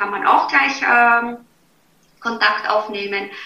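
A woman with a slight Viennese accent speaks amid audible room echo. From Austria, Vienna. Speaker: beauty and health coach. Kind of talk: interview.

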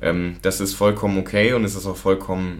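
A man's very deep, low pitch with fairly even intonation and audible room echo. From Lower Saxony, Germany. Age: 20s. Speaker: student recovering from alcohol problem. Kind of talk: testimony.

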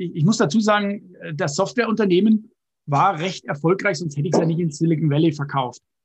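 Lively intonation marks a man's speech, delivered at a high pitch. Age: 50s. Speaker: software entrepreneur and investor. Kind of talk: interview.

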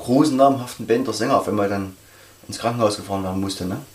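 Very fast male speech with ordinary pitch variation, audible room echo and noticeable background noise. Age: 40s. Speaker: metal club member. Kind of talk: casual interview.

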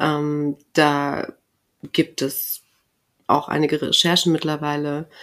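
A woman speaks at a very deep, low pitch with monotone, flat intonation. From southern Germany, near Karlsruhe. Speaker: author and journalist. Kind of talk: interview. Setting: office room, in person.

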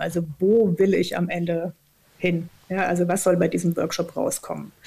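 The voice has vocal fry and a dark, mellow tone. Its intonation stays fairly even. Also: woman. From southern Odenwald, Germany. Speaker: organisational consultant and author. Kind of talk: casual interview.

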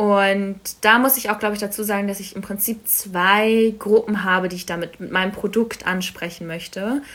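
An unremarkable speaking voice belongs to this woman, at a medium pitch and moderate pace. Her intonation is fairly even, though her loudness swings widely. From Berlin, Germany. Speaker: coffee business founder. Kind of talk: casual interview.

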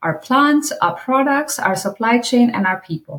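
Somewhat breathy, a woman's voice moves with lively intonation. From India. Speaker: corporate sustainability executive. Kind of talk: interview.

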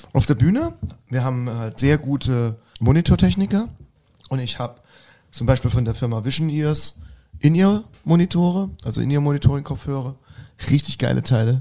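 A man speaks at a moderate pace with long, frequent pauses, lively intonation, a somewhat breathy quality and a dark, mellow tone. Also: medium pitch for a man. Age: 40s. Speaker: rock singer. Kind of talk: casual interview chat.

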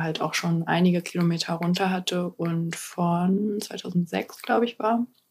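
A woman's voice, fairly low in pitch. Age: 30s. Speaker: van traveller and mother. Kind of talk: casual chat.

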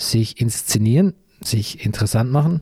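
A man speaks at a fairly slow pace in a dark, mellow tone. The sound is dry and close, without echo. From Bavaria. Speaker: podcast host, author and journalist. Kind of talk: scripted narration.

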